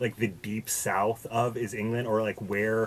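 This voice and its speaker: A man with an American accent at a fairly slow pace, with noticeable background noise. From US, Boston. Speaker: podcast guest. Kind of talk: casual chat. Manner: halting, many fillers and restarts.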